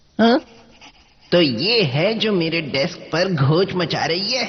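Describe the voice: A cartoonish character voice at a middle pitch, delivered at a moderate pace.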